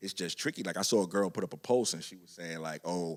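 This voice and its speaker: A man talks at a fairly quick pace with a New York accent. His voice is very deep and low. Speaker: podcast host. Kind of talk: casual chat.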